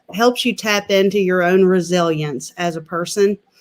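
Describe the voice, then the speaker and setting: With an Appalachian accent, a woman speaks using ordinary pitch variation. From West Virginia, Mingo County. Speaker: political candidate. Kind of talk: casual chat.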